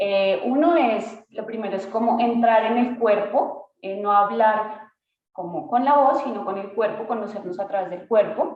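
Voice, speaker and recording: A woman speaks in a Colombian accent with a fairly high pitch and ordinary pitch variation. The room echo is audible. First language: Spanish. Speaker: dance artist and workshop leader. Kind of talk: workshop presentation. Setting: video call.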